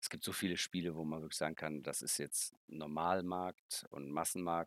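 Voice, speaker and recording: A man is heard in a dry, close sound with no echo on a very clean recording with a silent background. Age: 50s. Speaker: board game designer. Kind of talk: interview.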